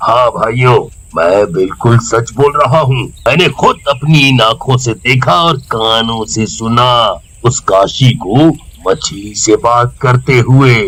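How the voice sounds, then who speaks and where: Using a cartoonish character voice, a man speaks fairly slowly at a medium pitch. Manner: boastful, scheming.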